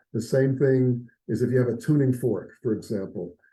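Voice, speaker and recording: A moderate pace from a man, his voice somewhat breathy with a dark, mellow tone. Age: 70s. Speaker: integrative health practitioner. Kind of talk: interview.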